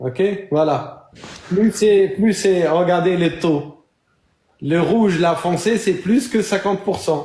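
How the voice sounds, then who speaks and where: Using a non-native accent, a man speaks very slowly in a high pitch, with ordinary pitch variation, very even loudness, and long, frequent pauses. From North Africa (Amazigh). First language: not French (speaking French). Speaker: debate moderator. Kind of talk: heated debate.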